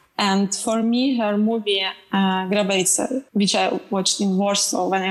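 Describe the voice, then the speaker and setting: Over noticeable background noise, a woman speaks in a flat monotone. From Ukraine. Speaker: film director. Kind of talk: panel discussion.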